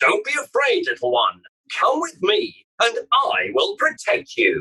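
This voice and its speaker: Put-on character voice with extremely high pitch at a fairly slow pace. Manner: kind, encouraging.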